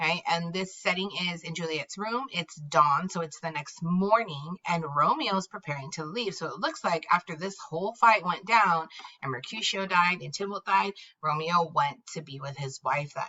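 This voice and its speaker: A woman with an ordinary speaking voice talks at a moderate pace, with fairly low pitch and ordinary pitch variation. Her loudness swings widely. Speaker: teacher. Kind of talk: classroom read-aloud with explanation. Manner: casual, conversational.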